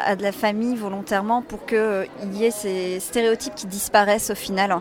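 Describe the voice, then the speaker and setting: A woman talks at a moderate pace with fairly even intonation. Noticeable background noise is present. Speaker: convention organizer, association president. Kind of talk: interview answers.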